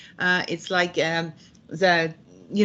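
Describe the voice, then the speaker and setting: In a French accent, a woman with a fairly low pitch talks at a moderate pace. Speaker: executive leadership coach. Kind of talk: interview. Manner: halting, many fillers.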